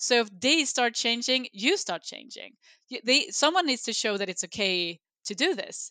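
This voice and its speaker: A woman's high-pitched, bright, sharp voice with very wide pitch swings and a Swedish accent, at a moderate pace, dry and close with no echo, over a quiet background. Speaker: sustainability executive. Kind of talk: interview.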